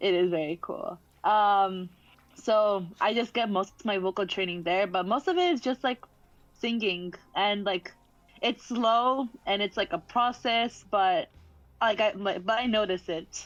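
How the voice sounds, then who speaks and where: A woman with an American accent has an unremarkable speaking voice at medium pitch. She talks at a fairly slow pace with ordinary pitch variation. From Texas. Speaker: singer and streamer. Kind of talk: casual chat. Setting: video call.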